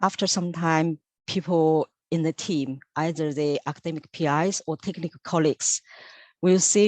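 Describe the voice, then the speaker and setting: With a Chinese accent, a woman speaks at a very deep, low pitch and a moderate pace, her intonation fairly even, the sound dry and close with no echo and the background quiet. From China. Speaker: senior lab technician. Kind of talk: interview.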